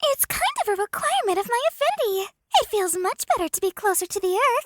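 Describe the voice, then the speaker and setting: In a put-on character voice, a woman squeaks out her words at an extremely high pitch and a very fast pace. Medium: audio drama. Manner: brash, casual, fond of saying freaking.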